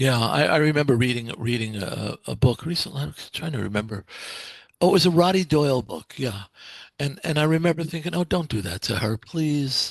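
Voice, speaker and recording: A man talks fairly quickly in a normal speaking voice, pitched fairly high, with lively intonation. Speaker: podcast host. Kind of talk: interview question.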